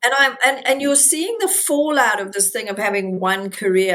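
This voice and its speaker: The speaker goes at a moderate pace with ordinary pitch variation, with noticeable background noise behind. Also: woman. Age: 60s. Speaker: podcast co-host. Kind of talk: casual chat.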